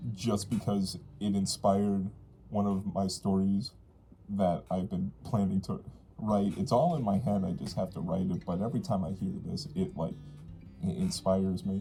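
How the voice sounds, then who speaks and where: A man speaks with a dark, mellow tone at a fairly low pitch, using ordinary pitch variation. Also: moderate pace. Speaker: furry content creator. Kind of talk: casual Q&A to camera. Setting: speaking inside a fursuit head, voice echoes. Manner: casual, hesitant with fillers.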